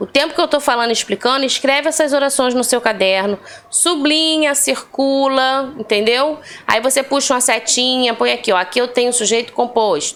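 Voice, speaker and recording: A woman with a high voice and ordinary pitch variation is heard over noticeable background noise. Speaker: Portuguese language teacher. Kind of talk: online lesson. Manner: slow and deliberate.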